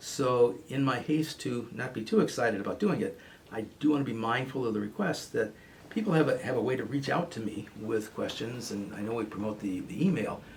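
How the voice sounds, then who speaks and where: Amid noticeable background noise, a man at medium pitch talks at a fairly quick pace with lively intonation. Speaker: radio host, therapist. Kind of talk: radio talk show monologue. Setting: radio studio. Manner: fast when excited.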